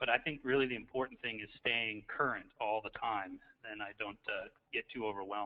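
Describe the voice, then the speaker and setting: A man talks at a fairly quick pace with a medium pitch and fairly even intonation. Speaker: school principal, doctoral student. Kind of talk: self-introduction in webinar. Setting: online webinar from office. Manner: quiet. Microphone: faint, too quiet.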